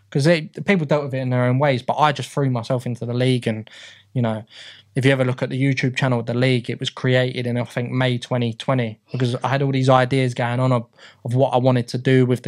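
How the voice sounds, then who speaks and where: Delivery is very fast and monotone, with flat intonation, in a London accent. The recording is very clean, with a silent background. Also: man. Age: 30s. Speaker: football league secretary. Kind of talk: casual interview. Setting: studio. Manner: halting, many fillers and repeats.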